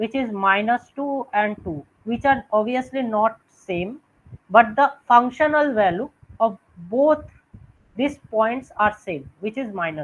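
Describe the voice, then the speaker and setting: A woman's fairly high voice at a very slow pace, with lively intonation and big swings in loudness. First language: not Hindi, not English (Indian language). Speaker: student tutor. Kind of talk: online revision lecture.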